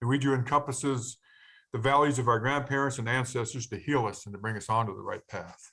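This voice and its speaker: Speaking at a fairly quick pace, a man has a plain, everyday voice at a medium pitch, with fairly even intonation and big swings in loudness. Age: 60s. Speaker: peer learning specialist, formerly incarcerated. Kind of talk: webinar presentation.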